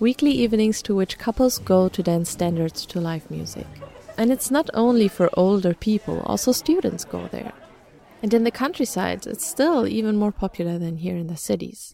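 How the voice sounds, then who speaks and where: With crowd noise in the background, a woman talks at a moderate pace in a German accent. Her intonation is lively. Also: medium pitch for a woman. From Germany. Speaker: student radio reporter. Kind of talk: scripted narration.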